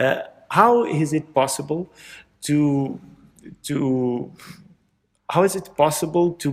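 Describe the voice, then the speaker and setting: A man with a Portuguese accent, fairly high in pitch, at a moderate pace with ordinary pitch variation, on a very clean recording with a silent background. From Portugal. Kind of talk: casual chat. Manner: halting.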